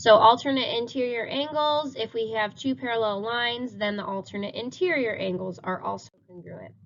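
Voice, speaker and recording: A woman with an ordinary speaking voice talks at a moderate pace and a fairly high pitch. Her loudness swings widely, and she hardly pauses. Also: ordinary pitch variation. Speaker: math teacher. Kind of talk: recorded lesson.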